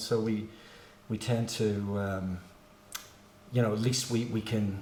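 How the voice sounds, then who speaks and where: In a Belfast accent, a man speaks at a fairly low pitch and a fairly slow pace. His intonation is monotone and flat, with audible room echo. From Northern Ireland, Belfast. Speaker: musician. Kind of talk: casual chat. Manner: halting.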